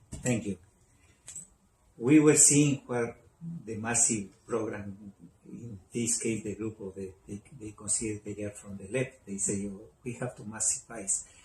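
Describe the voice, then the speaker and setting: A man with a Spanish accent speaks fairly slowly at a fairly low pitch, his dark, mellow, somewhat breathy voice keeping fairly even intonation while his loudness swings widely and long pauses come often. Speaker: talk show host, doctor. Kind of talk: talk show interview.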